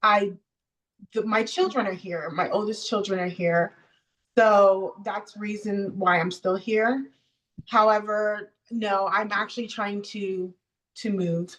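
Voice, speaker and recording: A woman with a medium-pitched voice speaks at a very slow pace, leaving long, frequent pauses. Her intonation is fairly even. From US South (Miami and Georgia), born in Jamaica. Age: 40s. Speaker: interview guest. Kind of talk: casual interview.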